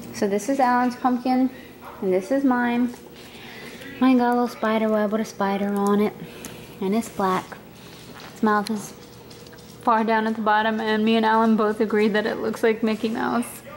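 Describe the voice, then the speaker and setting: A woman speaks in a monotone, flat way with long, frequent pauses over light background noise. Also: moderate pace. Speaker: vlogger. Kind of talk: casual vlog chat. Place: kitchen. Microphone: phone near.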